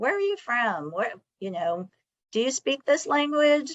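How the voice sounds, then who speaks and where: A woman speaks at a fairly slow pace with a Californian accent. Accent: California. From California, Sacramento. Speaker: college administrator. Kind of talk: discussion.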